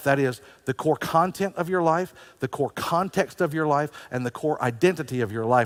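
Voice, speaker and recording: In a plain, everyday voice, a man talks fairly quickly with ordinary pitch variation. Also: dry, close sound with no echo. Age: 60s. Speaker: pastor. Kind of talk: sermon.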